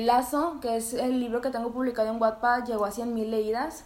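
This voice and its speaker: A woman speaks with a high pitch and a Mexican accent. Audible room echo surrounds her voice. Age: 20s. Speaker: podcast co-host and writer. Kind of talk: casual chat.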